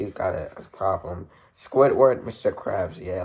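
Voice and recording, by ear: A passage is read aloud in a natural voice.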